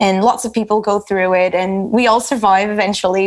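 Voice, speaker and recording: Speaking at a moderate pace, a woman with a Portuguese accent has a medium pitch. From Portugal, Lisbon. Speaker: category manager. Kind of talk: casual chat. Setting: video call.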